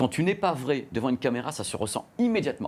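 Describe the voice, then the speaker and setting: On a very clean recording with a silent background, a man speaks at a very fast pace in an animated tone with very wide pitch swings. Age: middle-aged. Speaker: journalist and YouTuber. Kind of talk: interview.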